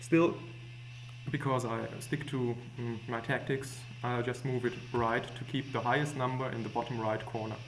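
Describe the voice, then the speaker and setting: A man speaks at a moderate pace, his pitch sitting in the middle range. The delivery is flat and monotone, with audible echo from the room. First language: not English. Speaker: gaming tutorial maker. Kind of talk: tutorial. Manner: hesitant, many fillers.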